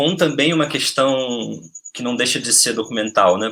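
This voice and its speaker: Bright and sharp in tone, a man's voice sits at a medium pitch with ordinary pitch variation. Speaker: film researcher. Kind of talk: webinar talk. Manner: fast.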